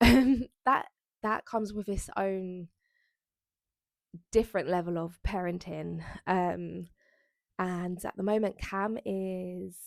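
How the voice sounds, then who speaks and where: A woman speaks with a South East London accent at a medium pitch and with ordinary pitch variation. The sound is dry and close with no echo, on a very clean recording with a silent background. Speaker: lifestyle vlogger. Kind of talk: casual chat to camera. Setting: bedroom at home.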